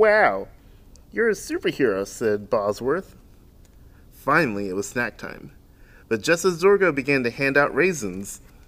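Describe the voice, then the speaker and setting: A man at a fairly slow pace, with very wide pitch swings and long, frequent pauses. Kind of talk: read-aloud storytelling and craft tutorial. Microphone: camera far.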